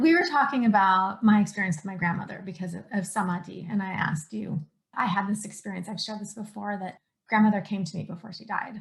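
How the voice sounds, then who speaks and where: Speaking very fast at a medium pitch, a woman sounds somewhat breathy. Her loudness swings widely. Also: ordinary pitch variation. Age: 40s. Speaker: podcast host and coach. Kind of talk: casual chat.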